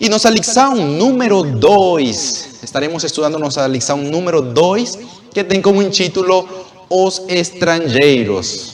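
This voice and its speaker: A man with a Spanish accent speaks at a very slow pace, with very wide pitch swings, over noticeable background noise. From Venezuela. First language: Spanish (speaking Portuguese). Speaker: Bible study teacher. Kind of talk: religious lesson.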